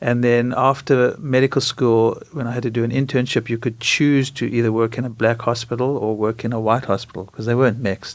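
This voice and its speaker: With a South African accent, a man talks at a fairly quick pace with hardly any pauses, keeping a medium pitch and a monotone, flat intonation. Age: 60s. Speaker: doctor. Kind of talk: interview.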